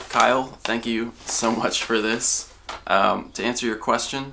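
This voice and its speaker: At a moderate pace, a man speaks in a monotone, flat intonation with a bright, sharp tone and medium pitch. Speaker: gaming YouTuber. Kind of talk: casual vlog, opening mail. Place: home room. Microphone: camera far.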